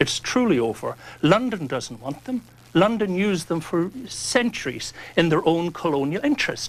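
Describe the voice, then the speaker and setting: A man's high voice in an Irish accent, with very wide pitch swings, at a moderate pace. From Northern Ireland, County Fermanagh. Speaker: priest and lobbyist. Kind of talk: heated debate.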